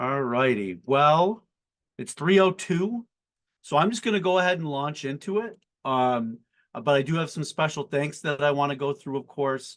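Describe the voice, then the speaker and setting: This man talks at a moderate pace in an American accent, with fairly high pitch and lively intonation. He has an unremarkable speaking voice, and the background is quiet. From Buffalo, New York, US. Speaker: company CEO and founder, webinar host. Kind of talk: webinar panel introduction. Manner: casual with frequent fillers.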